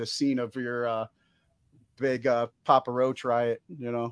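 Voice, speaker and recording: A man talks at a fairly slow pace in a medium pitch. The sound is dry and close with no echo, over a quiet background. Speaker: podcast host, military veteran. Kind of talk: casual interview.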